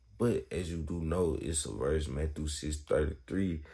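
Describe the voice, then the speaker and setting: The voice is somewhat breathy, with a dark, mellow tone. It moves at a fairly slow pace with ordinary pitch variation. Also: man. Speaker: Bible vlogger. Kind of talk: casual Bible talk. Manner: casual, halting.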